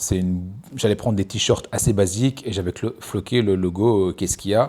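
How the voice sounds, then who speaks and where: A man speaks with a very deep, low pitch and a dark, mellow tone, his intonation fairly even, on a very clean recording with a silent background. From Belgium (Namur, Brussels). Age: 30s. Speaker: entrepreneur vlogger. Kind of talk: casual monologue vlog. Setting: outdoors on a beach. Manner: hesitant, many fillers.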